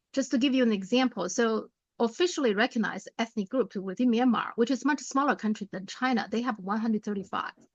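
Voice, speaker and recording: Talking at a very fast pace with a non-native accent, a woman has a fairly high pitch and ordinary pitch variation. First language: not English. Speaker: political commentator. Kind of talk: casual chat.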